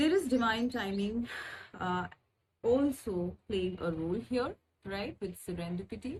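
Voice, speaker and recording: A woman speaks very slowly in a somewhat breathy, medium-pitched voice. Her intonation is lively. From India. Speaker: spiritual guide, tarot reader. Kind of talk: channel introduction with card reading. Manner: hesitant, many fillers.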